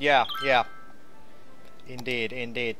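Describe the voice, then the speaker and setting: A man with a Finnish accent, medium-pitched, at a moderate pace, over noticeable background noise. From Finland. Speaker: game artist and designer. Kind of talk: casual livestream chat. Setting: live game stream.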